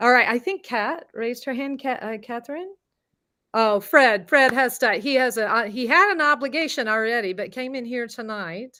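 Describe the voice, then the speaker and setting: A woman's high-pitched voice with a bright, sharp tone, a Southern US accent, lively intonation, big swings in loudness and a moderate pace. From US South. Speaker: voice and confidence coach. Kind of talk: online masterclass.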